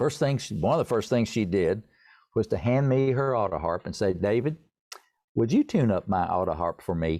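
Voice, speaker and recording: Speaking with an East Tennessee accent, a man with a dark, mellow tone and fairly low pitch talks at a moderate pace with lively intonation against a quiet background. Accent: Southern, East Tennessee. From US South, East Tennessee. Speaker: songwriter and pianist. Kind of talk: interview.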